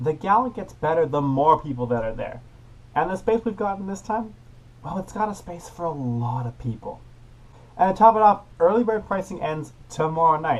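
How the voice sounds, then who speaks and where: At a moderate pace, a man talks in a high voice with lively intonation. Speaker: youth parliament premier. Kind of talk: casual vlog to camera. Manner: upbeat.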